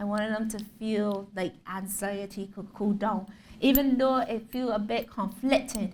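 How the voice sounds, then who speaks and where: Somewhat breathy delivery at a fairly slow pace. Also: woman, fairly high pitch for a woman. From Barbados. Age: 30s. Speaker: visual artist. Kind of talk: lecture. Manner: animated storytelling.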